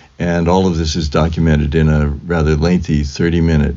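A man talks at a fairly slow pace in a very deep, low voice. Noticeable background noise sits behind him. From US West Coast (Fresno, California). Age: 70s. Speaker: composer. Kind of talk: interview.

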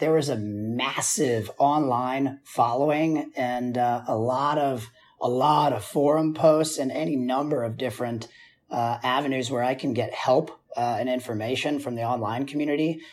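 A man keeps his intonation fairly even as he talks at a moderate pace. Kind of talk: casual interview. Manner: halting, filler-heavy.

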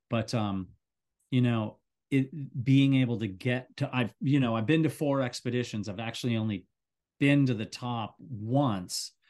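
A man speaks at a moderate pace in an ordinary speaking voice of medium pitch. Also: ordinary pitch variation. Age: 60s. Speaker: high-altitude cameraman and mountaineer. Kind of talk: interview.

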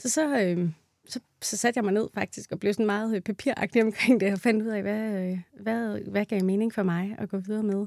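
A woman with a normal speaking voice talks at medium pitch and a moderate pace. Her intonation is fairly even, and the sound is dry and close with no echo. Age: 30s. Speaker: midwife. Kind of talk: interview.

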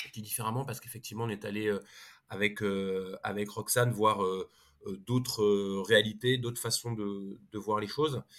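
A man with a fairly low pitch speaks at a moderate pace with fairly even intonation in a very clean recording with a silent background. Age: 40s. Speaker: consultancy co-founder and economist. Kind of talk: interview. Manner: halting, many repetitions and fillers.

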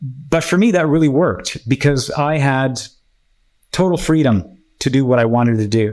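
Set in a very clean recording with a silent background, a plain, everyday voice moves at a moderate pace with ordinary pitch variation. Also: man. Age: 50s. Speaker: engineer and entrepreneur. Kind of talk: interview conversation.

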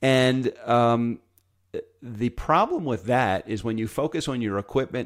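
Recorded very cleanly with a silent background, a man with an American accent talks at a medium pitch and varies it in an ordinary way. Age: 50s. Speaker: podcaster and former DJ. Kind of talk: interview.

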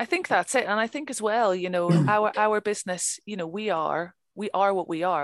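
A woman with a Northern Irish accent at a moderate pace. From Northern Ireland. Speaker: crofter. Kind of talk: interview. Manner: talkative.

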